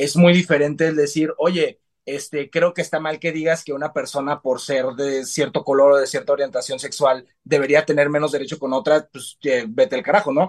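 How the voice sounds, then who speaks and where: A man's fairly high-pitched voice at a moderate pace, with fairly even intonation and hardly any pauses. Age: 20s. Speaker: TV series reviewer. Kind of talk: casual chat.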